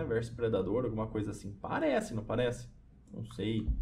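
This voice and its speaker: A man with light background noise. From Brazil. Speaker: gaming youtuber; gamer streamer. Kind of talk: gameplay commentary. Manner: animated. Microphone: headset.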